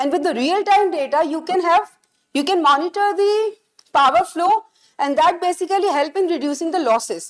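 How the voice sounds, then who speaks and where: Loud and extremely high-pitched, a woman speaks at a moderate pace. Her pitch varies in an ordinary way. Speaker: physics lecturer. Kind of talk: lecture. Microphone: speaking without mic, too loud with it.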